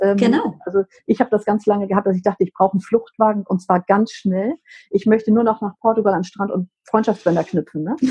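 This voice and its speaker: Talking at a very fast pace, a woman with a dark, mellow tone sounds somewhat breathy, her intonation fairly even. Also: medium pitch for a woman. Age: 50s. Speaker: menopause coach and psychotherapy practitioner. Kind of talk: casual chat.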